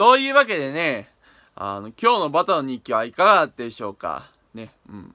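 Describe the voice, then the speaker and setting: Over a quiet background, a man speaks at a moderate pace in a bright, sharp tone. His pitch swings very widely and his loudness rises and falls a lot. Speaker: toy review YouTuber; toy review vlogger. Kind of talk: video diary vlog. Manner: halting with many fillers and repetitions; unusual speech patterns. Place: home room. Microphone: phone near.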